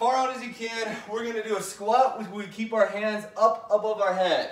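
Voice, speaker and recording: A man talks at a fairly slow pace in a high voice. Audible echo fills the room. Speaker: fitness instructor. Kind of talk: workout instruction. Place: home room. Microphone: camera far.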